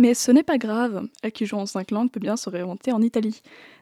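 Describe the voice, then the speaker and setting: Her tone dark and mellow, a woman speaks very fast at a fairly high pitch with fairly even intonation, the sound dry and close with no echo. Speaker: film columnist. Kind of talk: radio film review. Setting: studio.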